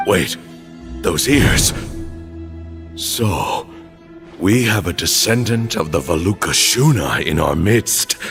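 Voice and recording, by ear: A man uses a put-on character voice at a slow pace, low-pitched with vocal fry and a fairly bright tone. His intonation is lively, broken by long, frequent pauses, with faint music in the background.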